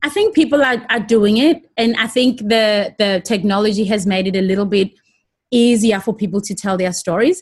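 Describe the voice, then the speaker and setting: Against a quiet background, a woman talks in a somewhat breathy voice with fairly high pitch. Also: ordinary pitch variation, moderate pace. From South Africa (Johannesburg). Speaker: TV presenter and producer. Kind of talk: interview.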